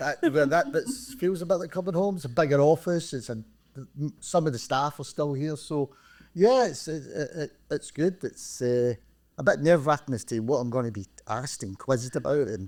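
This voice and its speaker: On a very clean recording with a silent background, a man talks at a fairly quick pace with lively intonation and fairly high pitch. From Scotland, Glasgow (Springburn). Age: 60s. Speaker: retired credit union chief executive. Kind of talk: podcast interview. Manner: halting, with repetitions.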